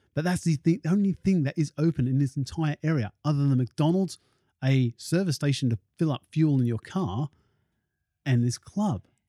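A man speaks at a moderate pace and a fairly high pitch, with ordinary pitch variation and a dark, mellow tone. The sound is dry and close, with no echo. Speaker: podcast host. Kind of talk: casual conversational podcast.

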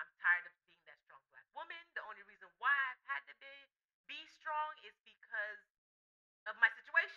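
A woman with an American accent speaks in a raised, projected voice at a moderate pace, high in pitch with very wide pitch swings, big swings in loudness and a bright, sharp tone. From Miami, Florida. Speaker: podcast co-host. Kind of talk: casual chat.

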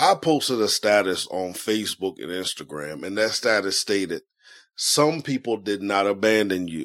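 A man with a fairly low pitch and a calm, warm tone, lively intonation, and moderate pace, on a very clean recording with a silent background. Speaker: podcast host. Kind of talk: solo podcast monologue with guided breathing. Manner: calm, warm, conversational.

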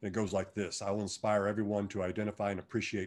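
Here a man speaks at a very fast pace. The recording is very clean, with a silent background. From Kansas. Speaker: retired football player. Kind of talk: podcast interview.

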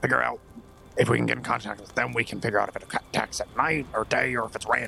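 A man does a put-on character voice that is booming and raspy, at a very fast pace with big swings in loudness. Clear music plays in the background. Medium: actual play. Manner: loud even when whispering.

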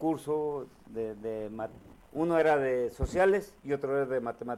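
A dark, mellow tone with ordinary pitch variation. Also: man. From Morelos, Mexico. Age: 50s. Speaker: politician. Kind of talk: casual interview over drinks.

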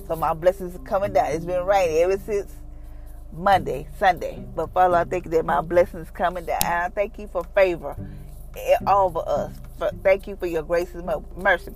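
A woman speaks at a moderate pace in a fairly low pitch, with monotone, flat intonation and music playing in the background. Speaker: devotional podcaster. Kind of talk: fervent prayer; devotional reading and prayer. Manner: earnest, heartfelt.

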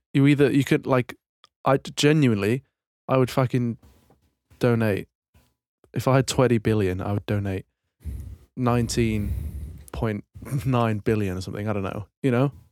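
Someone with a British accent speaks at a moderate pace, with ordinary pitch variation. Long pauses come often. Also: man, medium pitch for a man. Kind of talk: casual chat.

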